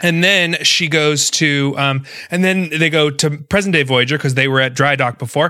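Amid noticeable background noise, a man with an American accent speaks at a moderate pace and a fairly high pitch, with fairly even intonation and very even loudness. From North Florida, US. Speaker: podcast co-host. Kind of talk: casual chat.

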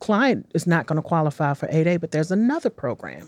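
A woman talks at a fairly quick pace in an American accent, with an unremarkable speaking voice. The background is quiet. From Washington, D.C. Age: 50s. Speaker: city small business development director. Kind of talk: interview. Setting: studio.

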